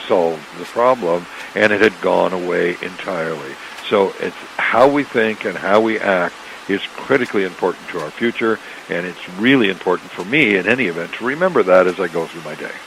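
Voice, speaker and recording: In a Canadian accent, the speaker talks at a fairly quick pace with ordinary pitch variation. Loudness swings widely amid noticeable background noise. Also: man. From Canada. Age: 60s. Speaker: author and entrepreneur. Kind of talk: radio interview. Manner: repeats words often, slightly halting.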